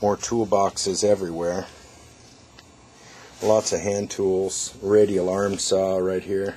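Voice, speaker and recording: Over noticeable background noise, a man with an American accent and a fairly low pitch speaks very slowly in a monotone, flat way, with long, frequent pauses. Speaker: auctioneer. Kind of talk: walkthrough preview of estate auction items to camera. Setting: on location at estate sale. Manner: casual, conversational.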